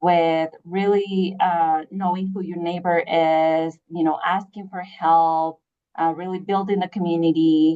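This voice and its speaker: A woman's fairly low, dark, mellow voice holds a flat, monotone intonation. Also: fairly slow pace. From Chihuahua, Mexico. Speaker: public health communications director. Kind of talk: interview. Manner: hesitant, many fillers.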